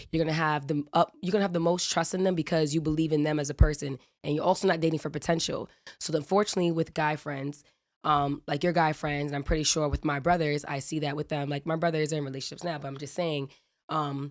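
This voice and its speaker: On a very clean recording with a silent background, a woman talks very fast in an animated tone at a very deep, low pitch. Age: 20s. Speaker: podcast guest. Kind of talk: casual podcast conversation.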